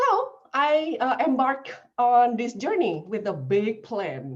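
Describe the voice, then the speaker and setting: With an Indonesian accent, a woman speaks in a fairly high pitch with very wide pitch swings. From Indonesia, Jakarta. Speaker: language professor. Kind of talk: lecture. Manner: halting, many fillers.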